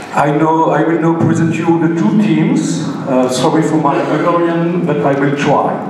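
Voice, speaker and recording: Moderately paced speech with hardly any pauses, strong room echo and light background noise. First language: French. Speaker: master of ceremonies. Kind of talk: bilingual event hosting. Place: hall.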